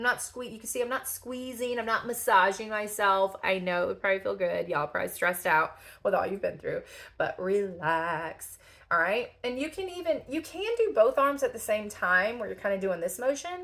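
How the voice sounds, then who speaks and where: A woman speaks fairly quickly with a slight Southern US accent. Her fairly high pitch makes very wide swings. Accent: slight Southern country twang. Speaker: lymphedema therapist. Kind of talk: tutorial. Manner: casual, chatty.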